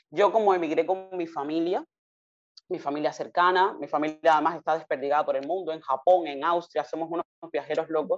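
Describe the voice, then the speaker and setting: A fairly low-pitched woman's voice at a fairly quick pace. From Cuba, Havana. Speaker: consultant and foundation director. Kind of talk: interview. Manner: animated.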